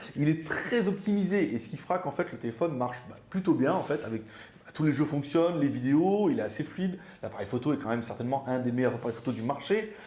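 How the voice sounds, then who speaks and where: A man speaks very fast, his fairly high voice rising and falling in lively intonation. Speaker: viewer reviewer. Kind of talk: product review.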